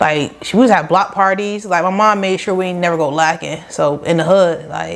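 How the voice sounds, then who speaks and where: A woman with an American accent, fairly low in pitch, at a moderate pace with fairly even intonation. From Rochester, upstate New York. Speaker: small business owner, lash artist. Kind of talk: casual podcast interview.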